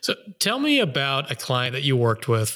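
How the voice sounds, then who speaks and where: A man talks at a moderate pace and medium pitch in an ordinary speaking voice, captured on a very clean recording with a silent background. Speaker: podcast host. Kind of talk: casual interview chat. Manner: jokey, conversational.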